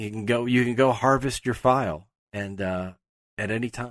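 A man with an American accent and a plain, everyday voice, lively intonation and a fairly slow pace, with a dry, close sound with no echo and a quiet background. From Pittsburgh, US. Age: 40s. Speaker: entertainment journalist. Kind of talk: casual chat.

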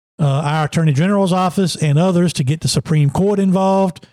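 A man speaks with a Virginia accent in a dark, mellow tone. His pace is moderate, and the sound is dry and close with no echo. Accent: Southern US (Virginia). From Emporia, southern Virginia. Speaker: former racing driver and sports analyst, podcast co-host. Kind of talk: casual political chat.

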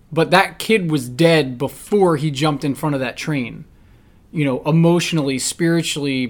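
With an American accent and a normal speaking voice, a man talks at a moderate pace in a fairly high pitch with fairly even intonation. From New Jersey. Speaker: podcast host, firearms instructor. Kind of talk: casual chat.

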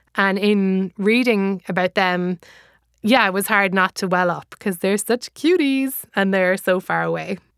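A woman with a medium pitch talks at a moderate pace and with fairly even intonation, in a very clean recording with a silent background and a dry, close sound with no echo. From Ireland. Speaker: comedian and author. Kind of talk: casual talk about her book.

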